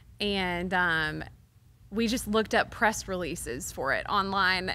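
Bright and sharp in tone, a woman speaks with an American accent, vocal fry and ordinary pitch variation. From Texas, Waco; Texas. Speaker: songwriter; guest. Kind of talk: interview. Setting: stage at a music venue. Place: studio. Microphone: studio mic.

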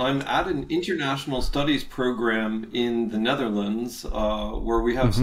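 Ordinary pitch variation marks a man's speech at a moderate pace. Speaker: history professor, remote guest. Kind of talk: interview answer. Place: home room. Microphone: webcam.

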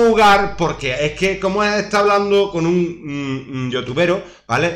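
A man's animated, lively voice at a fairly slow pace, with audible room echo. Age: 40s. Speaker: gaming youtuber. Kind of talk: gameplay commentary with rant. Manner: halting. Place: home room. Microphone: webcam.

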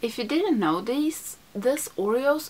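Speaking at a very slow pace, a woman uses a high pitch and a Swedish accent. Loud background noise runs behind her. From Sweden. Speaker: beauty YouTuber. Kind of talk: makeup tutorial. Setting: home studio. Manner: chatty. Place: home room.

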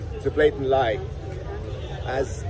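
Music plays in the background. A man is talking over it. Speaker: health vlogger. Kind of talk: casual vlog chat. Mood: opinionated, critical. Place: market. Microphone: phone near.

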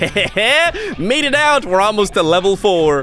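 With music in the background, a man projects his voice in a raised, upbeat, playful tone, swinging very widely in pitch at a fairly slow pace. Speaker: voice over artist. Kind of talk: gaming commentary.

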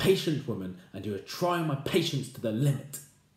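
A man does a put-on character voice, fairly high and at a fairly quick pace. There is a slight echo and some hissing. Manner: hissing, irritated.

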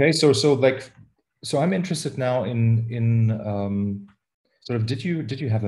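A man with a German accent, a fairly low pitch, a dark, mellow tone, and ordinary pitch variation over a quiet background. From Germany. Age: 40s. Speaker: podcast host, musician; podcast host. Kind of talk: interview. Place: home room. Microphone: video call.

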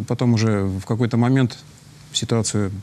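Intonation is fairly even. A dark, mellow tone carries it. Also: man. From Tolyatti, Russia. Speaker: fire safety official. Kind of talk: studio interview. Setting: studio. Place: studio.

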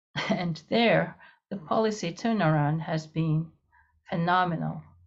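With a Japanese accent, a woman speaks at a fairly slow pace in a fairly low, somewhat breathy voice, leaving long, frequent pauses against a quiet background. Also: ordinary pitch variation. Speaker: international security professor; panel expert. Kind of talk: panel discussion; panel discussion answer. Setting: video call. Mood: calm, analytical. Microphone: video call.

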